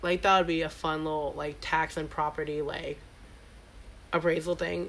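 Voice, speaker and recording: A woman with an American accent, vocal fry, fairly even intonation and a moderate pace. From Staten Island, New York. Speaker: podcast co-host. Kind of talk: casual chat.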